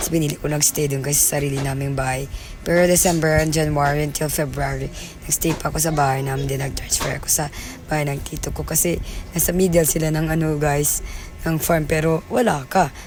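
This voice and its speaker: A woman with a very deep, low pitch speaks at a fairly quick pace and with fairly even intonation, with audible room echo and noticeable background noise. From Philippines, Cordillera. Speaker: vlogger. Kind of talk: vlog voice-over. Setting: recorded in a car.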